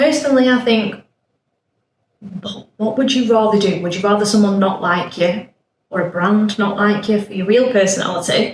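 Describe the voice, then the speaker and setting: A woman with a northern English accent speaks at a moderate pace. Her speech has long, frequent pauses. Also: medium pitch for a woman, ordinary pitch variation. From northern England. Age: 30s. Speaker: podcast guest, nail technician. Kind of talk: casual chat. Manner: loud and blunt.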